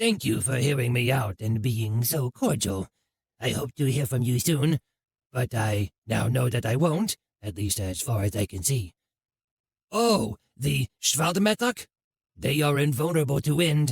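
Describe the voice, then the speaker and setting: A man puts on a raspy character voice at medium pitch. He speaks at a moderate pace. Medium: read story. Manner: formal, courteous.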